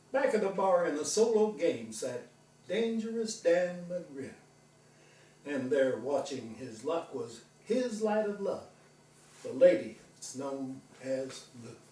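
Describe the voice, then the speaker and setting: Over noticeable background noise, a man speaks very slowly with long, frequent pauses. His high pitch swings very widely, and his loudness rises and falls sharply. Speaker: veterinarian. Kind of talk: poetry reading.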